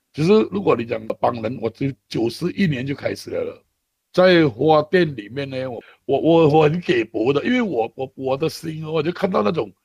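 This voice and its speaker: A man's somewhat breathy, fairly high voice with lively intonation, in a dry, close sound with no echo. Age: 50s. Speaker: charity worker. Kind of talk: interview. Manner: halting, with many fillers and repetitions.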